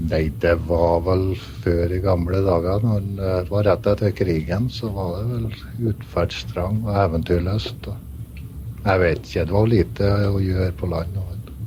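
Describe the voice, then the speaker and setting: A man with a northern Norwegian accent speaks at a very deep, low pitch and a very slow pace, with hardly any pauses and ordinary pitch variation, over noticeable background noise. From Northern Norway, Velfjord near Brønnøysund. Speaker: ship's first mate. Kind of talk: radio interview.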